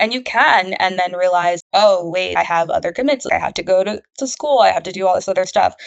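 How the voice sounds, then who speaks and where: A woman talks at a fairly quick pace with hardly any pauses, her medium pitch showing ordinary variation. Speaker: project coordinator, former student ambassador. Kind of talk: interview. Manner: soft-spoken; halting.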